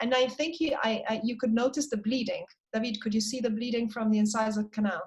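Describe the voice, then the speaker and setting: Her voice is fairly high-pitched and somewhat breathy. The woman speaks at a fairly quick pace with fairly even intonation. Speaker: periodontal surgeon presenting cases. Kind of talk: online case presentation. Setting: video call.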